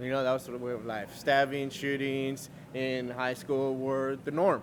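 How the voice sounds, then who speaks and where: At a fairly slow pace, a man speaks in a medium pitch with a monotone, flat intonation. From Los Angeles, California (Cuban-born, childhood in Costa Rica). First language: Spanish. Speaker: Navy veteran and restaurant owner. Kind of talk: interview.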